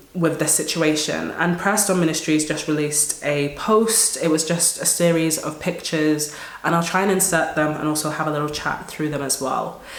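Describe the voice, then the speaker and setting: Against noticeable background noise, a woman speaks at a very deep, low pitch with fairly even intonation. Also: moderate pace. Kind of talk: casual talk to camera.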